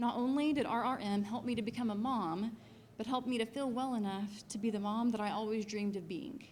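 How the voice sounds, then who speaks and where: Speaking at a fairly quick pace in an American accent, a woman with a fairly high pitch keeps a fairly even intonation amid audible room echo. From Missouri, US Midwest. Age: 30s. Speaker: patient. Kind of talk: testimony.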